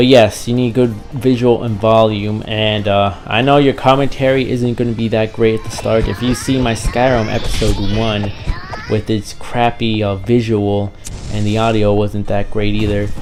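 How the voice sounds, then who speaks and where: A man's monotone, flat intonation over music in the background. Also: moderate pace. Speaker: gaming YouTuber. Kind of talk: casual vlog talk to viewers. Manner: repetitive, many fillers.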